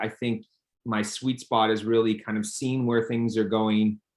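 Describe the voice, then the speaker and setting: A plain, everyday voice from a man with a Canadian accent, medium in pitch and moderate in pace, with fairly even intonation. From Canada, Toronto. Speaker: company founder and CEO. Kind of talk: interview. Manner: many fillers and repetitions.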